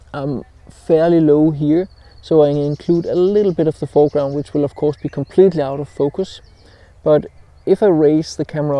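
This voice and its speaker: The man's dark, mellow tone comes through a dry sound with no echo, his intonation fairly even. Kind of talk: casual vlog chat. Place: open country. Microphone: lapel.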